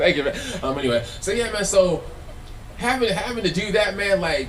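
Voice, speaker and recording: A high-pitched man's voice with an American accent at a moderate pace, over noticeable background noise. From Los Angeles. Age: 40s. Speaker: filmmaker and former musician speaking on stage. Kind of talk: live talk to an audience. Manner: casual, repetitive and halting.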